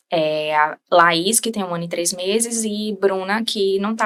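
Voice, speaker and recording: At a fairly slow pace, a woman speaks with a bright, sharp tone. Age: 20s. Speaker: bereaved mother sharing her story. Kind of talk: interview testimony.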